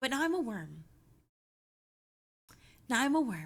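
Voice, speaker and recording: A put-on character voice at a fairly high pitch, with very wide pitch swings and a moderate pace. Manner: silly.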